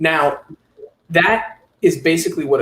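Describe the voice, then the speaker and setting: The man speaks in a New York accent with ordinary pitch variation. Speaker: fingerprinting business owner, trainer. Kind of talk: webinar training talk.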